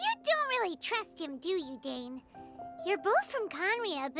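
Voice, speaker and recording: Clear music plays in the background as a put-on character voice, squeaky and extremely high in pitch, moves at a fairly slow pace with very wide pitch swings. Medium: video game. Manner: excitable, outspoken.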